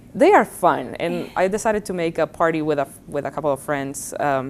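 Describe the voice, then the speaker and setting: A woman speaks with a Spanish accent at a moderate pace. Her pitch is very deep and low. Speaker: college professor. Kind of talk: interview.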